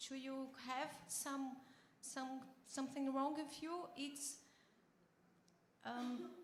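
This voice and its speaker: The delivery is very slow, flat and monotone, with long, frequent pauses. Audible room echo surrounds the voice. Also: woman, high pitch for a woman. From Brazil. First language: Portuguese. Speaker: bariatric surgeon, audience member at a panel. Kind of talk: audience question and answer at a conference panel. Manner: halting, with repetitions.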